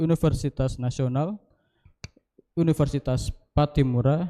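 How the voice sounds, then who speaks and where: A dark, mellow tone comes through at a moderate pace in a dry, close sound with no echo. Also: man. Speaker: session moderator. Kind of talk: formal introduction. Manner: hesitant, frequent fillers.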